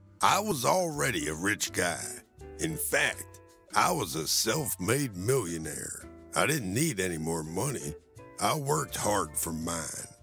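With an American accent, this speaker's pitch swings very widely at a fairly slow pace over background music. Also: man, very deep, low pitch for a man. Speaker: voice actor.

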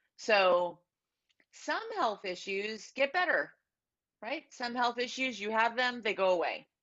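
An American-accented woman speaks at a fairly slow pace with lively intonation. Her long, frequent pauses sit against a quiet background. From California. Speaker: life insurance agent; guest. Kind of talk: casual interview. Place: home room. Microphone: earbuds.

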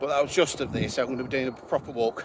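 A man talking at a very fast pace, dry sound with no echo, noticeable background noise. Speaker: walking vlogger. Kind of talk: casual vlog chat. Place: open country. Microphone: phone near.

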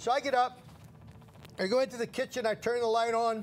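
With an American accent, a man speaks in a high pitch. There is light background noise. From New Jersey, Red Bank; New Jersey. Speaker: shopping channel host. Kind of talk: casual storytelling on live TV. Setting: TV studio. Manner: animated. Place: studio. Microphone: lapel.

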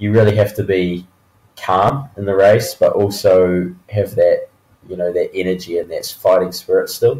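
The speaker talks at a moderate pace with a New Zealand accent. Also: man. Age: 20s. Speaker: professional mountain biker. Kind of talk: interview.

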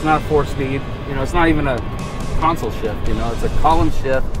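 Clear music plays behind a man who talks very fast with ordinary pitch variation, and the sound is dry with no echo. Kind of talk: casual conversation. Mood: excited about buying car. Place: car.

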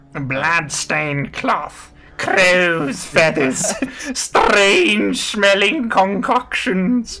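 Someone uses a put-on character voice at a middle pitch, moving at a very slow pace. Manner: ominous, theatrical.

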